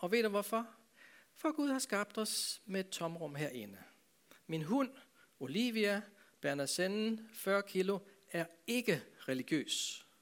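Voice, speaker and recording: A man's high voice with lively intonation, very slow pace and long, frequent pauses. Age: 60s. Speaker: pastor. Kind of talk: talk to a church audience.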